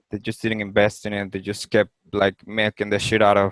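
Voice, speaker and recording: With a Spanish accent, a man talks at a moderate pace in a fairly low pitch. His intonation stays monotone and flat, and the sound is dry and close with no echo. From Venezuela, outskirts of Caracas. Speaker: podcast guest, digital designer. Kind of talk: casual interview conversation. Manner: halting, repeats words.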